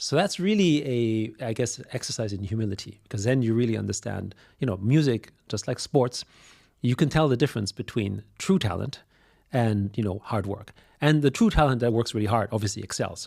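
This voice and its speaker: With a German accent, a man of medium pitch talks at a fairly quick pace with ordinary pitch variation in a very clean recording with a silent background. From Austria. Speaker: business executive. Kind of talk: podcast interview.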